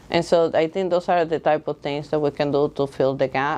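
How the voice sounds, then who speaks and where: A woman's very deep, low voice with a Dominican accent. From Dominican Republic. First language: Spanish. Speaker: school board candidate. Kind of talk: candidate interview. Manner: halting, with fillers.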